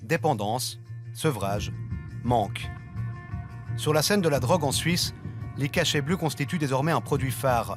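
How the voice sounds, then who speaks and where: Someone speaks at a fairly slow pace with music in the background. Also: man. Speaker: TV news reporter. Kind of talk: TV news report narration.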